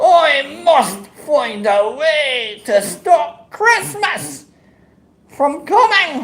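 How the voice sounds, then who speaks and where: In a put-on character voice, a female-sounding speaker growls at a very slow pace, her high pitch swinging very widely. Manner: growling, scheming.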